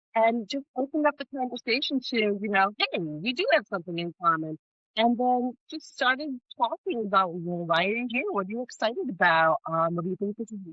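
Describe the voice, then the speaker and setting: A woman at a fairly high pitch, with very wide pitch swings and a fairly quick pace. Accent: Northeastern US. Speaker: life coach, podcast co-host. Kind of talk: casual podcast conversation.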